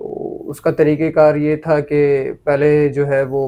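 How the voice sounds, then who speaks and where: The speaker is a man. His tone is dark and mellow. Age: 20s. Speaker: motorbike importer, businessman. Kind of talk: interview.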